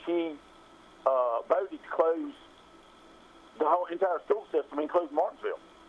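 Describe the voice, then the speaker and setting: In an American accent, a man talks at a fairly quick pace in a high pitch with ordinary pitch variation. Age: 60s. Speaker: caller, local business owner. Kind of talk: call-in political opinion. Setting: phone call.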